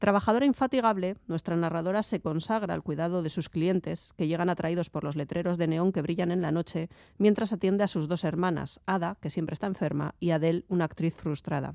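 A woman's fairly low, dark, mellow voice at a fairly quick pace with hardly any pauses and ordinary pitch variation, dry and close with no echo on a very clean recording with a silent background. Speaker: book reviewer. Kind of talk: book review. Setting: studio.

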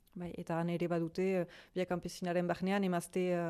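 A woman speaks in a dark, mellow tone at a fairly low pitch. The background is quiet. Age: 30s. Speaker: fruit farmer. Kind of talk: interview. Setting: farmhouse.

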